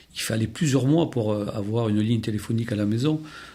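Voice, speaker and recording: A man with a dark, mellow tone and medium pitch talks at a fairly quick pace with ordinary pitch variation. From Béarn, France. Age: 60s. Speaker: retired telecom worker. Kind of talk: podcast interview answer. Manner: hesitant, many fillers.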